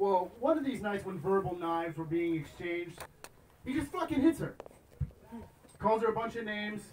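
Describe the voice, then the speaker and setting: A high-pitched man at a fairly quick pace with lively intonation, against noticeable background noise. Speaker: poet and author. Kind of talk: casual stage banter and storytelling. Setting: live venue.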